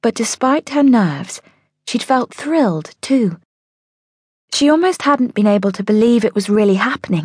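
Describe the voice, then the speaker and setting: A woman speaks at a moderate pace in a fairly high, somewhat breathy voice with very wide pitch swings and very even loudness, taking long, frequent pauses, and the sound is dry and close with no echo. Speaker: audiobook narrator. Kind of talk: audiobook narration of a children's story, dramatic. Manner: dramatic, expressive storytelling.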